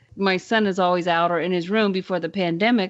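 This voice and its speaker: A woman speaks loudly. Her pace is moderate. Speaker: podcast co-host. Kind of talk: casual chat.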